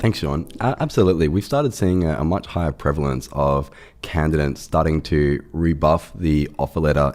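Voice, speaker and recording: Noticeable background noise sits behind a man speaking at a moderate pace. His pitch is very deep and low, with ordinary variation. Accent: Australian. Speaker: startup CEO. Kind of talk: podcast interview. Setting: studio, in person.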